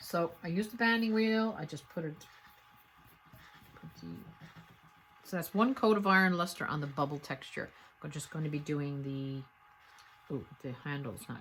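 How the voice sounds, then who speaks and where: With a slight Newfoundland accent, a woman speaks at a very deep, low pitch and a moderate pace. Her intonation is lively, broken by long, frequent pauses. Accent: slight Irish-sounding Newfoundland brogue. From Newfoundland, Canada. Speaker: potter. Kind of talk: tutorial. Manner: casual, conversational with hesitations.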